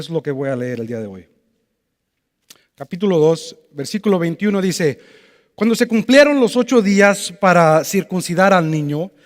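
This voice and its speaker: A man speaks at a high pitch with lively intonation and a fairly slow pace. The sound is dry and close, with no echo. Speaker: preacher. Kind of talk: sermon. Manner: halting.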